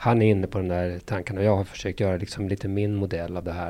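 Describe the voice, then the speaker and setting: A man talks at a very fast pace, his fairly low pitch and dark, mellow tone carried by fairly even intonation. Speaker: pediatrician and parenting author. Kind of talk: interview.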